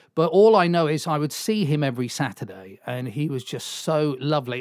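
With a South Welsh accent, a man talks fairly quickly in a fairly high pitch and with lively intonation. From South Wales, Swansea. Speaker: radio DJ. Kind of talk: casual chat.

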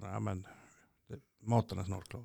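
This man's tone is dark and mellow. He delivers everything in a monotone, flat way. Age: 40s. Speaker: stroke survivor and musician. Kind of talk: casual interview.

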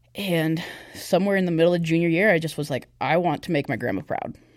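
Speaking with an American accent, a woman has an unremarkable speaking voice. Her pitch is fairly low and her pace fairly quick. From US Pacific Northwest, Olympia, Washington. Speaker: church youth leader. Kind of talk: testimony.

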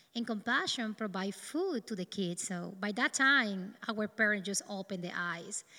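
A woman with a Dominican accent speaks at a moderate pace and a fairly high pitch. Her tone is bright and sharp, with ordinary pitch variation. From Dominican Republic. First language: Spanish. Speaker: neurosurgeon. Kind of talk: testimony.

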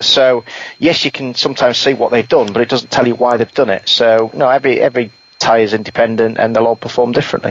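This man talks at a very fast pace in a medium-pitched voice with monotone, flat intonation. Noticeable background noise runs underneath. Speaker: rally podcast co-host and analyst. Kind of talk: casual chat. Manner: hesitant, with fillers.

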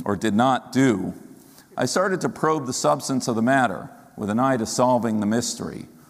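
With audible room echo, a man speaks at a moderate pace and a medium pitch with lively intonation. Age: 50s. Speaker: rabbi. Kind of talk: sermon.

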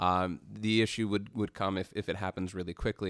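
In a very clean recording with a silent background, a man with a Canadian accent speaks at a fairly quick pace in a very deep, low voice with fairly even intonation. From Canada. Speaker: freelance journalist. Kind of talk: casual interview discussion. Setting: studio.

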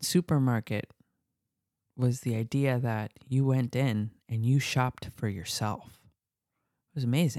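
Delivery is fairly slow, broken by long, frequent pauses. The recording is very clean, with a silent background. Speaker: co-host, doctor. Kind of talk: casual banter podcast chat.

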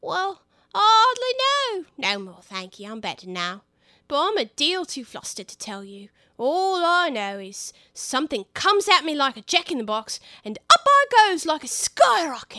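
A woman's put-on character voice, high and squeaky, with very wide pitch swings, a moderate pace, and a very clean recording with a silent background.

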